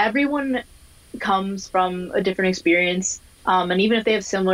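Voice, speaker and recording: In an American accent, a woman talks at a moderate pace and medium pitch in an ordinary speaking voice. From Minnesota, US. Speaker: diversity and inclusion specialist. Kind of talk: casual interview.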